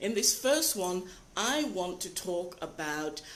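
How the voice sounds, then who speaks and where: A woman with a fairly low pitch talks at a fairly slow pace, with audible room echo. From Britain. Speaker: life coach. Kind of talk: live video talk. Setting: live video broadcast.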